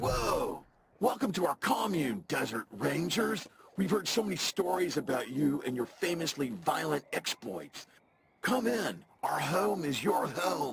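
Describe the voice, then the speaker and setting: A raspy, put-on character voice at a middle pitch and a fairly slow pace. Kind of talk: surfer-dude. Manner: laid-back, friendly.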